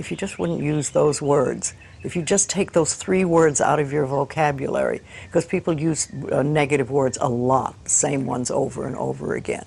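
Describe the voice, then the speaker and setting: Noticeable background noise sits behind a woman with a very deep, low pitch. She keeps a moderate pace and ordinary pitch variation. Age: 80s. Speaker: self-help author and teacher. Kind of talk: interview.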